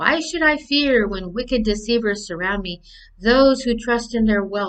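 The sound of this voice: The clip features an unforced reading voice. It reads in that manner throughout.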